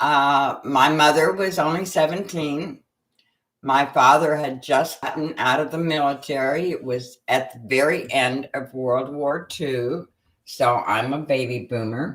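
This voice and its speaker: Speaking with an Upper Midwest accent at a fairly slow pace, a woman has a very deep, low pitch. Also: ordinary pitch variation. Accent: Upper Midwest American. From Minnesota, US Midwest. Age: 70s. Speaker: graphic designer. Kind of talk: life story interview. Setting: livestream.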